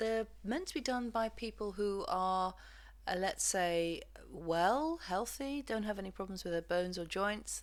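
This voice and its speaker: In a very clean recording with a silent background, a woman talks at a fairly slow pace. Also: medium pitch for a woman, ordinary pitch variation. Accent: English. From England. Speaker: physiotherapist and movement practitioner. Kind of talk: lesson introduction. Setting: home recording.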